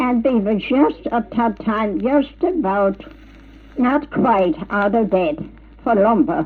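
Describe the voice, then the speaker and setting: A woman's fairly high voice at a very slow pace, lively in intonation and very even in loudness, with noticeable background noise. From Germany. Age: 90s. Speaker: pioneer settler. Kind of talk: interview. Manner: halting.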